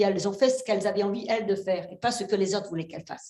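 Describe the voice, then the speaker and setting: A woman talks at a very fast pace in a medium pitch. Her voice is somewhat breathy, with a dark, mellow tone. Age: 60s. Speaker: fisherwoman and seaweed farmer. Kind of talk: panel discussion. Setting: stage with audience. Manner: animated.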